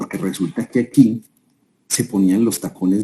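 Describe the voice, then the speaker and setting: The voice belongs to a man. His pitch shifts in an ordinary way. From Colombia, Armenia (Quindío). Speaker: business consultant, guest speaker. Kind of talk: webinar talk, storytelling. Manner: conversational, with many fillers and restarts.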